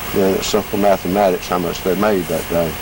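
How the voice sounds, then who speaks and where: With a Georgia accent, a man speaks at a moderate pace. There is noticeable background noise. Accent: Southern US, Georgia. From US South, Georgia. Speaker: interviewee recalling farm childhood. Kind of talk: oral history interview. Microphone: home video recording, poor quality.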